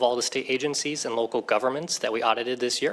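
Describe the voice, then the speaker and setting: Amid noticeable background noise, a man talks at a very fast pace with a medium pitch and ordinary pitch variation. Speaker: government cybersecurity auditor. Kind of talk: formal presentation at a legislative hearing. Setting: committee hearing room with microphone. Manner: loud; formal.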